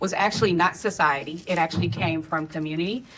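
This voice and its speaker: An ordinary speaking voice with an American accent. It moves at a moderate pace with ordinary pitch variation. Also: woman. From US Midwest, St. Louis, Missouri. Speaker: filmmaker and intimacy coordinator. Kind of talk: panel discussion.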